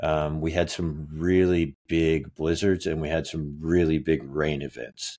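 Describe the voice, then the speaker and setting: The speaker has an American accent and a dark, mellow tone, with flat, monotone intonation. The pace is fairly slow, with hardly any pauses. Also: man, very deep, low pitch for a man. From Kansas. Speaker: podcast cohost. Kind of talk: casual chat.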